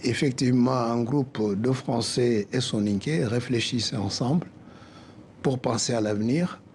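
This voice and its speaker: The voice has a dark, mellow tone and a West African accent. It moves at a fairly slow pace with ordinary pitch variation. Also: man. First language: Soninke (speaking French). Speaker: association president, accountant. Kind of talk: TV interview.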